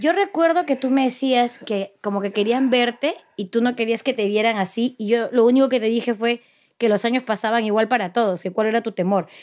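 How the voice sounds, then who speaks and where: In an ordinary speaking voice, a woman with a fairly high pitch talks at a fairly quick pace with ordinary pitch variation. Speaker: interviewee, daughter. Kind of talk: interview.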